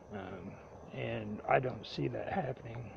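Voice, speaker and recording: A man speaking at a fairly slow pace. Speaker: amateur political commentary vlogger. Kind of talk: casual monologue. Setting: recording on an iPad. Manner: halting, many fillers.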